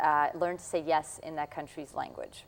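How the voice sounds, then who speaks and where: A woman with a Russian accent speaks at a fairly low pitch. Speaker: puppeteer and jazz musician. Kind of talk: interview.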